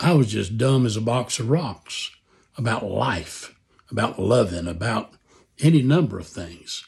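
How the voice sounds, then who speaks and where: Lively intonation runs through a somewhat breathy voice. The delivery is fairly slow. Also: man. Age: 70s. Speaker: author and Vietnam veteran. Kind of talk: personal reflection.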